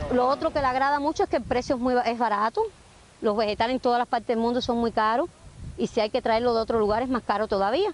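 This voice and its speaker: A woman with a high pitch, ordinary pitch variation and very even loudness at a very fast pace, in a dry, close sound with no echo and noticeable background noise. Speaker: urban farmer. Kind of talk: interview.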